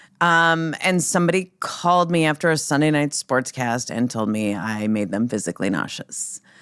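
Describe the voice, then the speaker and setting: A woman with an Upper Midwest accent speaks at a moderate pace in a very deep, low pitch with very wide pitch swings, on a very clean recording with a silent background. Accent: Upper Midwest American. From North Dakota, Minot. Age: 50s. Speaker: sportscaster and radio host. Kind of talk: podcast interview. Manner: casual, with fillers.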